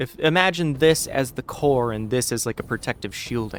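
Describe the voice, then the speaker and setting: A man with an American accent speaks at a medium pitch and a moderate pace. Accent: obvious American. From United States. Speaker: game streamer. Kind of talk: casual chat. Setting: live stream.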